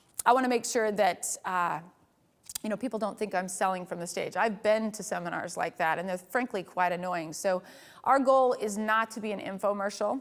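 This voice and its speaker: Here is a woman with an American accent. Her pitch is medium, with ordinary pitch variation. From Utah. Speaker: photography workshop instructor. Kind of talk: lecture. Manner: fast.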